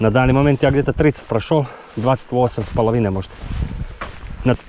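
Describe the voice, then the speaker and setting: There is noticeable background noise as a man speaks at a fairly quick pace. His pitch is medium, with ordinary variation. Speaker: endurance hiker and survival vlogger. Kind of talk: casual talk to camera while hiking.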